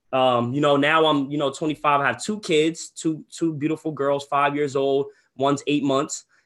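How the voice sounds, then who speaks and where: In a plain, everyday voice, a man with an American accent talks at a moderate pace with fairly high pitch, fairly even intonation and very even loudness against a quiet background. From New Jersey, Ocean County. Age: 20s. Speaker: real estate wholesaler and coach. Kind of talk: webinar. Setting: livestream from computer desk. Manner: casual, filler-heavy.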